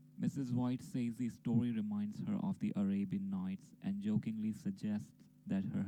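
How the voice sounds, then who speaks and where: A man speaks at a moderate pace with a non-native accent. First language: not English. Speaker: amateur story narrator. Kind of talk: casual intro; reading aloud.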